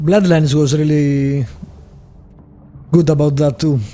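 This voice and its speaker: A man talks at a fairly high pitch and a moderate pace. His intonation stays fairly even. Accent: Greek. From Greece. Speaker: gaming video creator. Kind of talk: let's play commentary. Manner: casual, thinking aloud.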